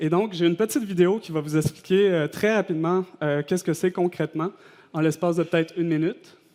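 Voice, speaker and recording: A man in a Quebec accent, high-pitched, fairly quick and fairly even in intonation. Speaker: designer giving a conference talk. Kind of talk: conference presentation. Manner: hesitant, many fillers.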